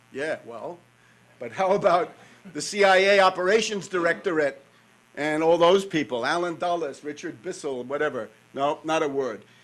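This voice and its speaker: This man has a New York accent and a fairly high voice with ordinary pitch variation. His loudness swings a lot. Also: moderate pace. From New York, North Queens. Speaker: conference speaker, author. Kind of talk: conference talk.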